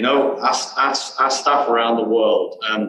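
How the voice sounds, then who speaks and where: Lively intonation from a man with a British accent, at a fairly slow pace. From England, Birmingham. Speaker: geoscientist, company director. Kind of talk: interview. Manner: halting, many fillers.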